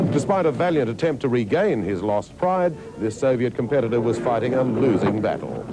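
Music plays in the background as a man talks at medium pitch and a fairly quick pace, with hardly any pauses. His intonation is lively and his loudness very even. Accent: Australian. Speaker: TV news presenter.

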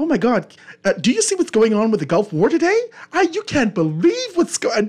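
A put-on character voice, fairly high in pitch, delivered at a fairly quick pace. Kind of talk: proper English, like a reporter. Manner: excited, urgent.

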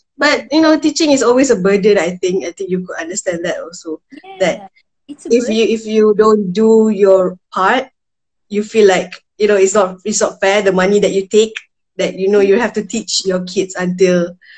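Over a quiet background, a woman with a somewhat breathy voice talks at a moderate pace with ordinary pitch variation. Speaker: remote guest, tutor. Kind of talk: casual conversation. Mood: relaxed, laughing. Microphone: video call.

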